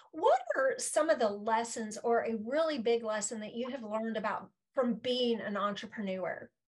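A woman talks at a moderate pace with hardly any pauses in a plain, everyday voice, fairly high in pitch and with ordinary pitch variation. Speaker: podcast host. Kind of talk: interview, casual chat. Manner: warm, encouraging.

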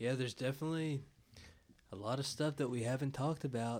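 Over a very clean recording with a silent background, a man with a normal speaking voice talks at a medium pitch with fairly even intonation. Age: 20s. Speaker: podcast host. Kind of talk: casual chat.

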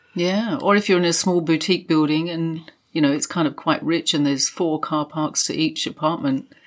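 Speaking at a fairly quick pace, a woman with an unremarkable speaking voice and fairly low pitch shows ordinary pitch variation on a very clean recording with a silent background. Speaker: property journalist and co-host. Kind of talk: casual conversational podcast chat.

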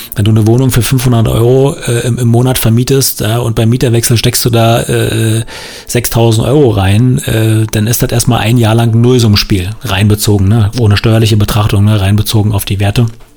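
An unremarkable speaking voice from a man with a medium pitch and fairly even intonation. He keeps a moderate pace and very even loudness. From northern Brandenburg, Germany. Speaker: podcast host, real estate investor. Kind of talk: solo podcast monologue. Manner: casual, many filler sounds.

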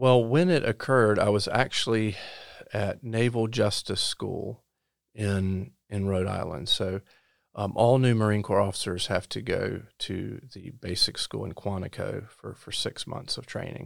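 Recorded very cleanly over a silent background, a man with a North Carolina accent and fairly low pitch speaks at a fairly slow pace, with ordinary pitch variation and big swings in loudness. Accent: Southern US (North Carolina). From US South, rural Robeson County, North Carolina. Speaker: state supreme court justice. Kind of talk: interview. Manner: halting, frequent repetitions and fillers.

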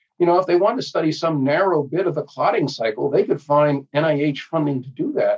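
In a plain, everyday voice with an American accent, a man talks at a moderate pace, his pitch fairly high and his intonation lively. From New Jersey. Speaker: pediatrician and public health professor. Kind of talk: interview.

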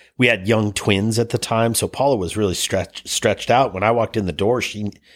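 On a very clean recording with a silent background, a man with an American accent and a normal speaking voice talks at a fairly quick pace and fairly low pitch. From US Midwest, Cleveland, Ohio. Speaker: snowboard lodge founder. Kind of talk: casual interview. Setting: office.

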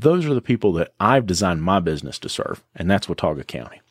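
In an Appalachian accent, a man speaks with very wide pitch swings. The recording is very clean with a silent background and a dry, close sound with no echo. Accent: Appalachian Southern US. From western North Carolina (Boone area). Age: 30s. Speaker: auto repair shop owner. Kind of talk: interview conversation.

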